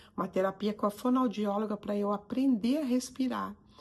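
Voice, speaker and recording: At a moderate pace, a woman speaks with a somewhat breathy, medium-pitched voice and fairly even intonation. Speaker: psychoanalyst and coach. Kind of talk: motivational talk to camera.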